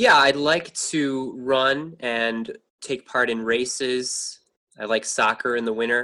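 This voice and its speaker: Very slow, bright, sharp male voice with an American accent, medium pitch and fairly even intonation. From New York. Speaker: furniture repairer. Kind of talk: interview.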